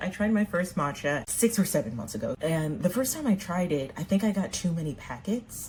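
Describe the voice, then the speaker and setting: A woman with an American accent, a fairly low pitch, a somewhat breathy voice, very wide pitch swings, a fairly quick pace and hardly any pauses. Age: 30s. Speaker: makeup vlogger. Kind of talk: casual chat while doing makeup.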